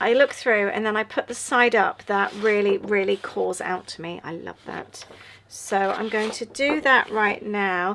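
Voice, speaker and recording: Her bright, sharp voice moves at a fairly slow pace with ordinary pitch variation and big swings in loudness as the woman speaks. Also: medium pitch for a woman. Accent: English. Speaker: journaling YouTuber. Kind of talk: casual craft tutorial chat. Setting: at home, late night. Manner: yawning, relaxed.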